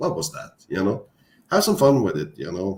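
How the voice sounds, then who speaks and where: A man speaks with a Norwegian accent. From Norway. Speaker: author. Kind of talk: casual chat. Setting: livestream. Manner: halting.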